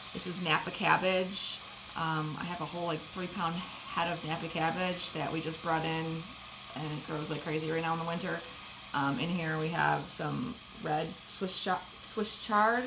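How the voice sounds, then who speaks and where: A woman's fairly low voice, fairly even in intonation, at a moderate pace over noticeable background noise. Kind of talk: casual cooking tutorial. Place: kitchen.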